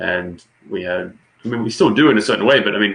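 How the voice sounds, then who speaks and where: A man with an Australian accent. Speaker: political commentator. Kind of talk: casual political discussion. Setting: livestream.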